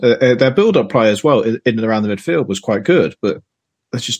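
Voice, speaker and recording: With lively intonation, a man talks fairly quickly. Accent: Yorkshire. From Yorkshire, England. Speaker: football podcast guest. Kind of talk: casual football chat.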